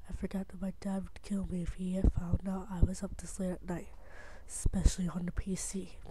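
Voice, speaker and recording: The speaker is whispering. The pace is moderate. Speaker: creepypasta narrator. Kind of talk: reading aloud.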